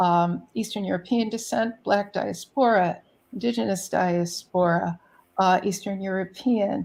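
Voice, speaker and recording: A woman with an American accent and a normal speaking voice talks at a fairly slow pace, her pitch medium with ordinary variation. The recording is very clean, with a silent background. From New York City. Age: 60s. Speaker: poet laureate and artist. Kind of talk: interview.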